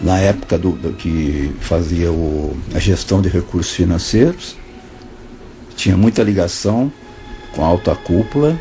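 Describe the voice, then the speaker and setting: Over background music, a man talks at a fairly slow pace with very wide pitch swings. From Brazil. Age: 70s. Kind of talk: informal spoken monologue. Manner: conversational, hesitant.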